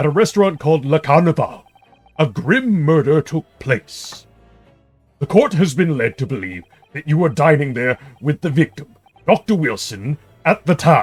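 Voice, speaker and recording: A man's put-on character voice, fairly high in pitch, with lively intonation, a moderate pace, long and frequent pauses, and faint music in the background. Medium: game stream. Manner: ornate, overly polite.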